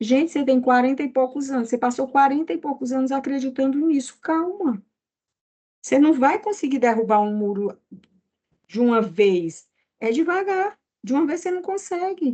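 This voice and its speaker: With long, frequent pauses at a moderate pace, a woman speaks in a high, dark, mellow voice that makes very wide pitch swings. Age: 60s. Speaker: therapist. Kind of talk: casual chat.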